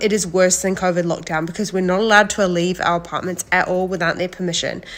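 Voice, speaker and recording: A woman with a New Zealand accent speaks at a medium pitch and a fairly quick pace, with hardly any pauses. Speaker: reality TV contestant. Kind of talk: casual chat. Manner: animated.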